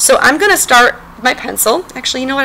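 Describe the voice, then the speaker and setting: A woman's voice comes through alongside noticeable background noise. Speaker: elementary art teacher. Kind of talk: tutorial. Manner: fast.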